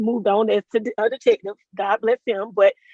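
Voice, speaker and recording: A loud woman's voice at a moderate pace, with a dry, close sound and no echo. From South Florida. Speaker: motorcycle deputy. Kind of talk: interview.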